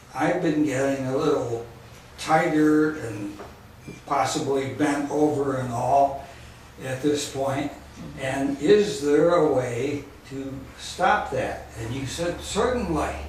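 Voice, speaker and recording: A man's fairly high voice at a very slow pace with ordinary pitch variation, amid noticeable background noise and audible room echo. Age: 70s. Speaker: radio show host. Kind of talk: testimony. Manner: halting.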